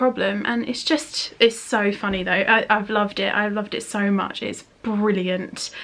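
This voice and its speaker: A woman is speaking. She has a British accent. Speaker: beauty and lifestyle vlogger. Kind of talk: casual chat. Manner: fast; animated.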